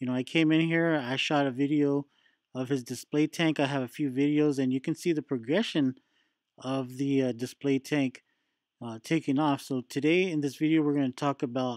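A man speaks at a moderate pace with fairly even intonation. The sound is dry with no echo, over a quiet background. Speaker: reef hobby channel host. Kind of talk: casual vlog chat. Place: shop. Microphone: phone near.

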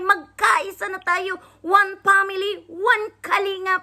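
Her tone bright and sharp, a woman projects a raised voice. She speaks at a very slow pace. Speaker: vlogger reacting to videos. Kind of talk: casual reaction vlog.

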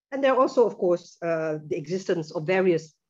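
Fairly quick speech from a woman, the background quiet. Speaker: presenter. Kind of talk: lecture. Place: home room. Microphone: video call.

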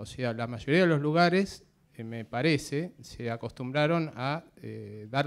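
A man talks at a very slow pace with a fairly high pitch and ordinary variation. The recording is very clean, with a silent background. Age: 50s. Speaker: drummer, audience member. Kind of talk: audience question.

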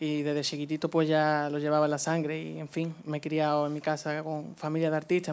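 A man's fairly high voice at a fairly quick pace, in a monotone, flat intonation. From Andalusia, Spain (La Línea, Cádiz); Andalusia, Spain. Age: young. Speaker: flamenco singer; interviewee. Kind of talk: stage interview; interview answer. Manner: halting. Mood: warm, reminiscing. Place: studio. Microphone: handheld.

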